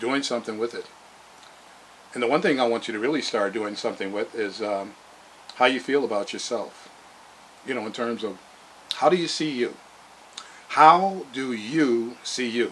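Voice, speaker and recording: Amid noticeable background noise, a man with a medium-pitched voice speaks at a moderate pace with ordinary pitch variation and long, frequent pauses. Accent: American. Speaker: motivational vlogger. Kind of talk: motivational monologue. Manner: halting, many fillers.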